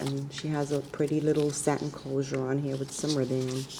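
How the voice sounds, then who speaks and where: Through noticeable background noise, a woman with a very deep, low pitch speaks at a moderate pace in a monotone, flat intonation. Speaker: card-making crafter. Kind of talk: craft show-and-tell vlog. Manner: soft-spoken.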